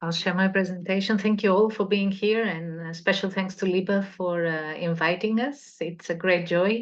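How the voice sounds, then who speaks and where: Moderate-paced speech from a woman at medium pitch, in a Portuguese accent, with fairly even intonation over a quiet background. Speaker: cultural association representative. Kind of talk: presentation.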